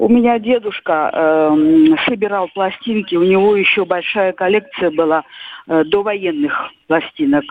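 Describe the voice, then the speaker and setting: With a normal speaking voice, a woman at medium pitch speaks at a fairly slow pace, her loudness very even and her pitch variation ordinary. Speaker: caller. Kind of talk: casual reminiscence. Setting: phone call.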